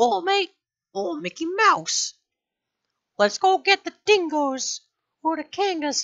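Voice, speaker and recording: An extremely high, put-on character voice moves at a fairly slow pace with long, frequent pauses. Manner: cheerful, excited.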